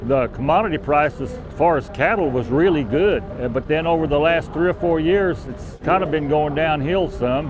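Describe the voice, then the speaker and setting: With music in the background, a man speaks at a moderate pace with hardly any pauses, his fairly high pitch showing ordinary variation. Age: 60s. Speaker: cattle farmer. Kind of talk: interview. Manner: halting, repeats words.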